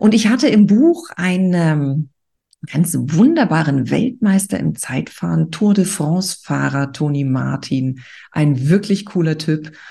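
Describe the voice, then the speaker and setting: This woman speaks at a very slow pace in a fairly low, somewhat breathy voice with a dark, mellow tone and lively intonation. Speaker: podcast host and author. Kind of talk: pep talk. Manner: motivating, energetic; direct, addressing listener as du.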